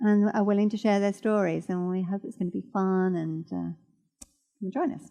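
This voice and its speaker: With a quiet background, a woman speaks at a moderate pace in a normal speaking voice, her pitch varying in an ordinary way. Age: 60s. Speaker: church speaker. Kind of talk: sermon. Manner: casual, conversational.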